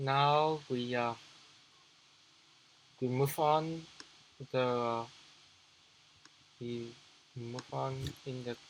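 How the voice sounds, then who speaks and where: Speaking with a non-native accent, a man talks at a very slow pace with long, frequent pauses. His pitch is medium and his intonation fairly even. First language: not English. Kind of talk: business tutorial talk to camera. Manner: halting, hesitant, many repetitions.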